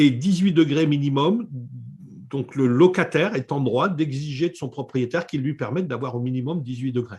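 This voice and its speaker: A man speaks at a fairly slow pace in a fairly high, somewhat breathy voice with lively intonation. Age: 60s. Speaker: eco-building author and renovation expert. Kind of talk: interview. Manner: hesitant, with many fillers.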